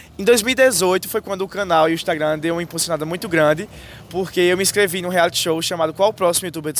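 The speech is delivered at a very fast pace. Noticeable background noise runs underneath it. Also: man. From Brazil, Paraíba (Northeast). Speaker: youtuber and student. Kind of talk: casual interview. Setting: outdoors in a university square.

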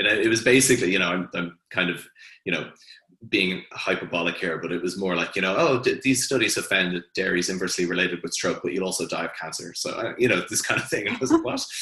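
Bright and sharp in tone, a man's very deep, low voice moves at a very fast pace with ordinary pitch variation. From Hong Kong, then Ireland from age 13. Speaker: nutrition researcher, former lawyer. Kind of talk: panel discussion.

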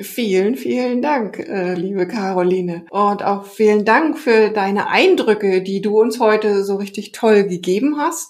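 A woman talks at a medium pitch with ordinary pitch variation and a fairly slow pace. She leaves hardly any pauses, and noticeable background noise sits behind her. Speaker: podcast host, nutrition therapist. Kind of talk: casual interview; podcast outro.

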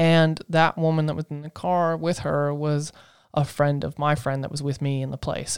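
The speaker has a Southern US accent. The recording is very clean, with a silent background. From US South, Asheville, North Carolina. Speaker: podcast co-host. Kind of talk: casual chat.

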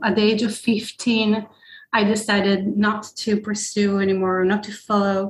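A woman speaks in a somewhat breathy, fairly high voice. Her pace is fairly slow. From Israel. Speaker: psychedelic therapy practitioner. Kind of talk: interview.

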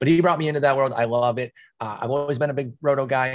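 Somewhat breathy, a man talks at a very fast pace in a medium pitch. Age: 40s. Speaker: fantasy baseball analyst. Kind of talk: casual chat.

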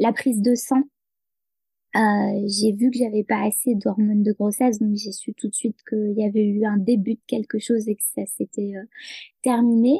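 A woman speaks in a fairly high, somewhat breathy voice with a dark, mellow tone and monotone, flat intonation. Her pace is fairly slow, and the sound is dry and close with no echo. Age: 30s. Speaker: peer support worker and novelist. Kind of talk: interview. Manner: halting.

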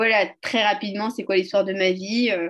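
A woman speaks in a plain, everyday voice, at a medium pitch with fairly even intonation. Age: 30s. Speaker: entrepreneur in youth career guidance. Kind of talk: casual interview.

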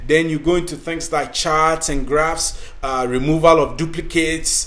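Against noticeable background noise, a man with an African accent talks in a high pitch with ordinary pitch variation. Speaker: podcast host and career coach. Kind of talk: scripted-style talk, tutorial.

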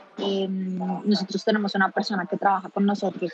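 Against noticeable background noise, a woman speaks in a flat monotone at a medium pitch and a moderate pace. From Colombia. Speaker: expat mother. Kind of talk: interview testimony. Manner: hesitant, many fillers.

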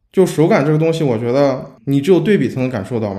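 This man's tone is dark and mellow. He talks at a very fast pace. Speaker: podcast host, UX designer. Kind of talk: casual chat.

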